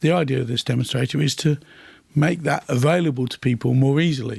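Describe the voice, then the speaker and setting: A somewhat breathy man talks at a very fast pace in a medium pitch with ordinary pitch variation, the sound dry and close with no echo. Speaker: airtightness testing expert. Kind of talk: interview.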